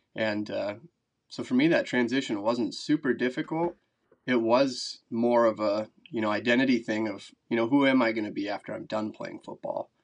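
With an Upper Midwest accent, a man talks at a moderate pace with ordinary pitch variation against a quiet background. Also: medium pitch for a man. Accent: Upper Midwest American. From Wisconsin, Madison area. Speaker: record-breaking angler, former college football player. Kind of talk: casual interview.

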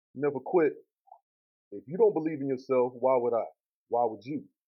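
A man's very fast, medium-pitched speech with a Texas accent and lively intonation. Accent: sounds like he's from Texas. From Columbus, Mississippi. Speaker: rapper. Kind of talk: casual interview.

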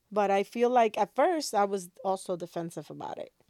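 A woman is talking. She has a Spanish accent. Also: dry, close sound with no echo, very clean recording, silent background. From Dominican Republic. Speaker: podcast host. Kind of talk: casual conversation, podcast intro.

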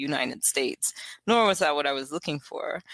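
A woman with an American accent talks at a very fast pace in a very deep, low voice with lively intonation, recorded very cleanly with a silent background. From South Carolina, US South. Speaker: poet and wellness practitioner. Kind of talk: interview.

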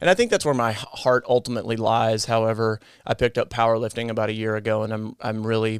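This is a man with a plain, everyday voice at a medium pitch, talking at a fairly quick pace with fairly even intonation. The recording is very clean, with a silent background. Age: 30s. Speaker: nurse and fitness content creator. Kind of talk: interview.

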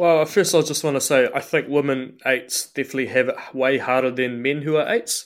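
A man with a New Zealand accent speaks at a fairly quick pace with hardly any pauses, his pitch fairly high with ordinary variation. The recording is very clean, the background silent. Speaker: trainee priest. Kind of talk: casual interview.

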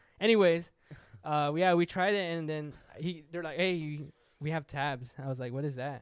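A plain, everyday voice belongs to a man with fairly high pitch. He keeps a moderate pace and ordinary pitch variation. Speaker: podcast co-host. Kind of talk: casual banter.

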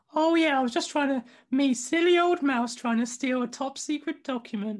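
In a put-on character voice, a female-sounding voice speaks at a high pitch and moderate pace against a quiet background. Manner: sarcastic.

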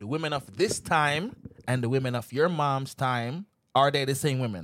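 A man with a Jamaican accent, animated in tone, at a moderate pace, his pitch medium with ordinary variation. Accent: Jamaican patois. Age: 30s. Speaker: podcast guest. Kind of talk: casual chat.

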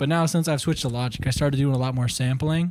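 This man has an ordinary speaking voice at a medium pitch with ordinary pitch variation, recorded with a dry, close sound and no echo. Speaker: guest, musician. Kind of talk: casual chat. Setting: studio.

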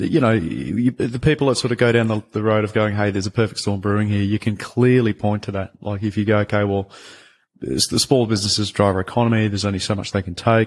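A man with an Australian accent, fairly low in pitch, with fairly even intonation on a very clean recording against a silent background. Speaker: podcast host. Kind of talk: interview, casual conversation.

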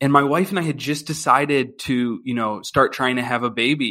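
A man with an American accent talks fairly quickly at a medium pitch with ordinary pitch variation. It is an ordinary speaking voice. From Philadelphia, Pennsylvania. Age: 30s. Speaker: financial services worker. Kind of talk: interview.

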